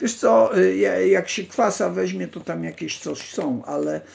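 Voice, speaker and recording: A man talks at a fairly slow pace. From Poland. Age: 60s. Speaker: livestream host. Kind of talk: casual live stream chat, reading text aloud; casual live-stream talk answering chat. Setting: online live stream. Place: home room. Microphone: phone near.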